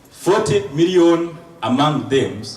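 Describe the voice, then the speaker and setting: Talking at a very slow pace, a man uses lively intonation. Audible room echo and noticeable background noise fill the recording. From Rwanda. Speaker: surgeon and lecturer. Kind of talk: lecture.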